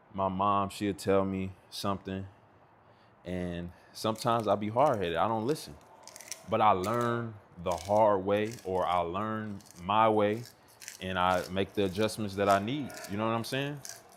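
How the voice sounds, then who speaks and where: A man speaks at a moderate pace in a fairly low pitch with a relaxed tone and fairly even intonation, leaving long, frequent pauses over noticeable background noise. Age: 30s. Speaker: streamer. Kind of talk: casual chat. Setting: livestream from home on laptop. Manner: relaxed, conversational.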